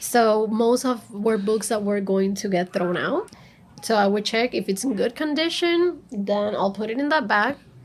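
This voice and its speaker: Against noticeable background noise, a woman with a Spanish accent speaks at a fairly high pitch with lively intonation. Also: moderate pace. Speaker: librarian. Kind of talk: interview. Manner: animated.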